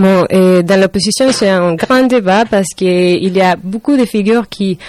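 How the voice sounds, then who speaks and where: A woman speaks at a medium pitch with fairly even intonation and a fairly slow pace. The sound is dry and close, with no echo. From Venezuela. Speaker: student. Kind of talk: interview. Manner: halting.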